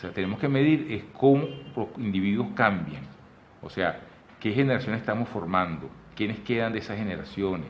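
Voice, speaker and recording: Audible room echo surrounds a man speaking at fairly low pitch with lively intonation. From Venezuela. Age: 60s. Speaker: photographer and artist. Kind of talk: interview conversation. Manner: animated; halting.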